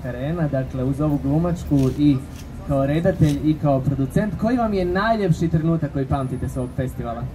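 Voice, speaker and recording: At a moderate pace, the speech comes through noticeable background noise. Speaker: festival moderator. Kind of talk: press conference moderation. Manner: formal.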